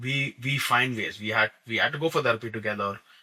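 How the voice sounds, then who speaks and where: A loud man with a bright, sharp tone speaks at a moderate pace with ordinary pitch variation. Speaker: podcast guest, husband. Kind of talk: casual chat. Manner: expressive.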